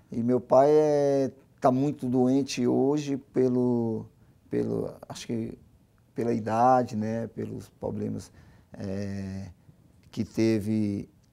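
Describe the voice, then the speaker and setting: Speaking very slowly with long, frequent pauses, a man uses a dark, mellow tone at medium pitch with fairly even intonation. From Brazil, Gama (Brasília), Northeastern parents; Brazil. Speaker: former footballer, football coach; football coach. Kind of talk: interview. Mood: somber, talking about family loss. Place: studio. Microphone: lapel.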